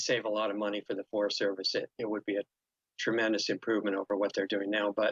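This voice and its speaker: Here a man speaks in a monotone at a very fast pace, his pitch fairly low and his intonation flat. The sound is dry and close, with no echo. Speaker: holistic health researcher. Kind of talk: interview.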